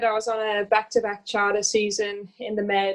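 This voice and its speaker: A woman speaks with an American accent at a fairly high pitch. Her pace is moderate, and the background is quiet. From Australia. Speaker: business founder and yacht stewardess. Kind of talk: casual interview.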